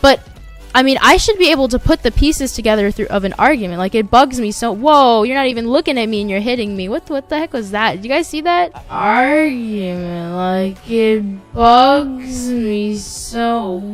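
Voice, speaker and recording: A woman with a fairly high pitch and lively intonation at a moderate pace, over noticeable background noise. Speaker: YouTuber, gaming commentator. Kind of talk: casual gameplay commentary. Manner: halting, with restarts and filler words.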